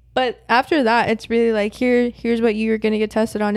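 In a very clean recording with a silent background, a woman with an unremarkable speaking voice talks at a fairly quick pace in a fairly high pitch. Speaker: college student. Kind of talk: casual chat.

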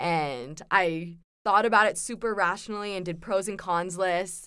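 On a very clean recording with a silent background, a woman speaks with a West Coast American accent. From Southern California. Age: 20s. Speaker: university student, returned missionary. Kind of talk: casual interview.

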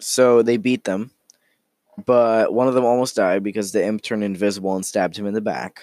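Fairly even intonation marks speech delivered at a fairly quick pace. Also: man, fairly low pitch for a man. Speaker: podcast host and dungeon master. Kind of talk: casual solo podcast monologue. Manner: halting, many fillers and restarts.

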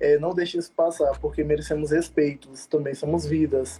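A dark, mellow, somewhat breathy voice moves at a moderate pace. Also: man. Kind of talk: interview in a live stream.

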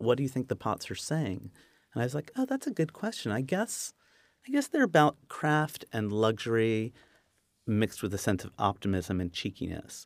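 A man with an American accent has an ordinary speaking voice at medium pitch, talking at a moderate pace with lively intonation in a very clean recording, dry and close with no echo over a silent background. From US Northeast, southern New Jersey. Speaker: potter and designer. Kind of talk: interview.

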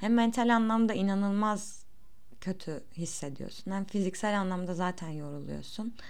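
Audible room echo surrounds a woman's voice. She speaks at a moderate pace with lively intonation. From Turkey. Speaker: podcaster. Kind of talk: unscripted monologue. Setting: home recording.

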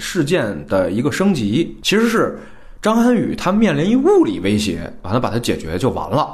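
A man at a moderate pace, with audible room echo. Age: young. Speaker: screenwriter, film podcast guest. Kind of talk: casual film review discussion.

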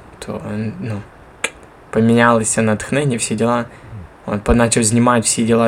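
The speech has monotone, flat intonation at a moderate pace, with noticeable background noise behind it. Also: man. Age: 20s. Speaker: podcast host, church worker. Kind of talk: casual chat.

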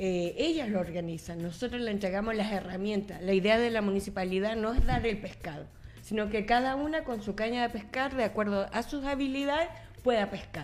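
A woman talks in a plain, everyday voice at a fairly high pitch. Her pace is fairly quick and her intonation lively. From Chile, Coquimbo. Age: 40s. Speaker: municipal official and journalist. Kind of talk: radio panel conversation.

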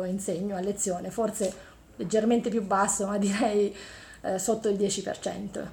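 Audible room echo around a woman's mid-range voice, rather slow in pace. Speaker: engineering professor. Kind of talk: interview.

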